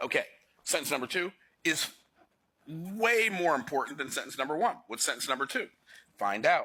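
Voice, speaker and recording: Animated and with a bright, sharp tone, a man speaks at a high pitch with very wide pitch swings and long, frequent pauses. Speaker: financial educator. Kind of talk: lecture. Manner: fast.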